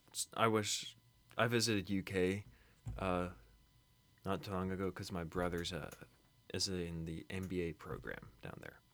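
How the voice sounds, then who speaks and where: With a very deep, low pitch and ordinary pitch variation, a man talks at a fairly slow pace, pausing long and often. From Kentucky, US. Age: young. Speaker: college student. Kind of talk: casual chat.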